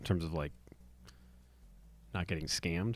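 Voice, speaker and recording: A soft-spoken man talks with fairly even intonation in a very clean recording with a silent background. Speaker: podcaster. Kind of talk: casual monologue. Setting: home recording at night. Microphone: close to the mic.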